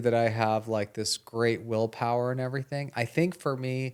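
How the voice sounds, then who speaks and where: A man uses an ordinary speaking voice at medium pitch. He keeps a moderate pace on a very clean recording with a silent background. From Canada (Toronto). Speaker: podcast co-host, doctor. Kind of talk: casual chat.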